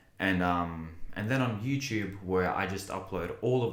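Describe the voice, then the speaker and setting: A man at a moderate pace with ordinary pitch variation, in audible room echo. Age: 20s. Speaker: content creator and English teacher. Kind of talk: personal vlog monologue. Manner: hesitant, filler-heavy.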